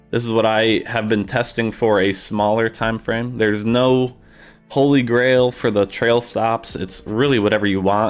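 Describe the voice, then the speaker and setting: With music in the background, a man at medium pitch talks at a moderate pace in a monotone, flat intonation. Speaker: trading software livestreamer. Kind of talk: live tutorial stream. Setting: livestream. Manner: casual, filler-heavy.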